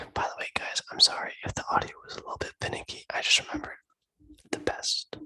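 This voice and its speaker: A man's whisper, recorded dry and close without any echo. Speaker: ASMR creator. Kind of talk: casual talk to camera. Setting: recorded through video call, poor audio.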